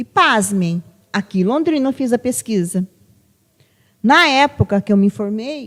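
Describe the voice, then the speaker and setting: A woman's fairly high voice with lively intonation, a fairly slow pace and long, frequent pauses, in a very clean, dry, close recording with a silent background and no echo. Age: 60s. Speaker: psychologist. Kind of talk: podcast conversation.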